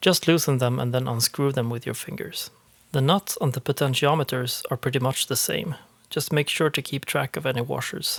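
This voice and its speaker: With a Swedish accent, a man speaks at a fairly quick pace in a somewhat breathy, fairly high-pitched voice, captured on a very clean recording against a silent background. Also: fairly even intonation, dry, close sound with no echo. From Sweden. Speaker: eurorack panel maker. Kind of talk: tutorial voice-over.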